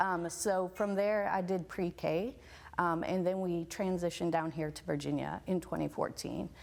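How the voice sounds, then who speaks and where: Fairly even intonation runs through speech in an American accent. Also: woman. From northern Wisconsin. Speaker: elementary school principal. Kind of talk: interview.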